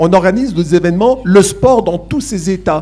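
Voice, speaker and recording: A man speaks with a Franche-Comté accent in a high pitch and a dark, mellow tone. His pace is moderate and his intonation lively. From eastern France, Besançon. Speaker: university academic, Olympic studies. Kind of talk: panel discussion Q&A. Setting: conference with live audience. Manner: hesitant, many fillers.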